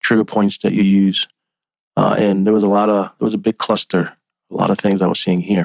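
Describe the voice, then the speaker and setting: A quiet man with a fairly low voice, fairly quick pace, very even loudness and flat, monotone intonation. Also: dry, close sound with no echo. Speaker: forex trading analyst. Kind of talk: tutorial. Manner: halting.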